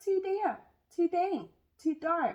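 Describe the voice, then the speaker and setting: In a put-on character voice, a woman squeaks at an extremely high pitch with fairly even intonation. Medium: read story.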